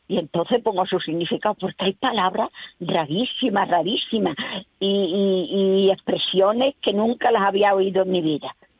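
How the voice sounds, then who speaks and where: In an Extremaduran accent, a woman talks at a moderate pace and medium pitch with ordinary pitch variation. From Extremadura, Spain (Higuera de Vargas, Badajoz). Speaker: collector of regional dialect words. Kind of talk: interview. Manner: repetitive.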